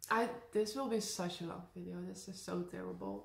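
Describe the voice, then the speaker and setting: A woman with a Dutch accent speaks at a fairly slow pace. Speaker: YouTuber. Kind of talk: casual talk to camera.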